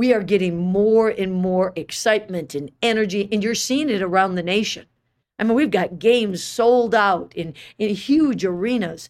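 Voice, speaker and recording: The recording is very clean with a silent background. A woman speaks at a medium pitch in an ordinary speaking voice. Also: ordinary pitch variation, moderate pace. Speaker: women's basketball head coach. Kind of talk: interview.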